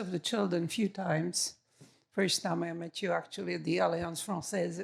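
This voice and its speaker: Vocal fry at a moderate pace, with ordinary pitch variation. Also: woman. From Czechoslovakia. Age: 60s. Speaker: audience member. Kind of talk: audience question.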